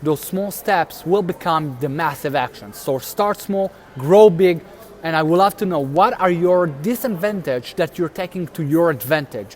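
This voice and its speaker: Over noticeable background noise, a man speaks at a moderate pace. His voice is high, with lively intonation. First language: not English. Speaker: motivational video host. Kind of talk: motivational talk, live stream. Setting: live stream. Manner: casual, halting.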